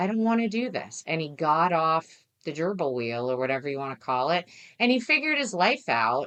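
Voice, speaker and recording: Speaking at a moderate pace with an American accent, a woman uses a fairly low pitch that swings very widely. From New Jersey. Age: 60s. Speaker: financial aid expert. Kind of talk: interview.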